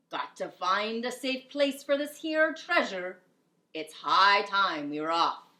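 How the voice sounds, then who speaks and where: Loud, bellowing put-on character voice at a fairly slow pace, with very wide pitch swings. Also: woman, fairly high pitch for a woman. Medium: read story.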